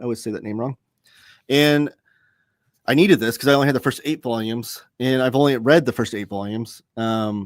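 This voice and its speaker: A man is recorded with a dry, close sound with no echo, very clean and against a silent background. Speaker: comics reviewer, live show host. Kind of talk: live stream chat reading viewer comments. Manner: mumbles sometimes; casual, hesitant with fillers.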